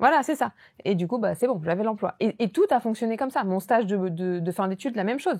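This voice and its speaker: A woman speaks at a very fast pace with lively intonation and a fairly high pitch. The sound is dry and close, with no echo. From southern France. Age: 30s. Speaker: real estate investor and entrepreneur. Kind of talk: podcast interview.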